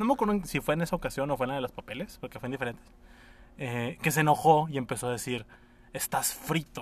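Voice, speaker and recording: A man speaks very fast in a fairly high voice, with ordinary pitch variation. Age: 20s. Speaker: podcast co-host. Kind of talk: casual chat. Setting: recording in a parking garage.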